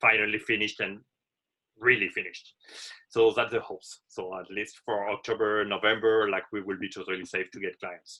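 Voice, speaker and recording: A man's bright, sharp, fairly low voice with a French accent, monotone and flat in intonation, at a moderate pace with long, frequent pauses and big swings in loudness. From France. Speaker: hotel manager. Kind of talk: webinar presentation.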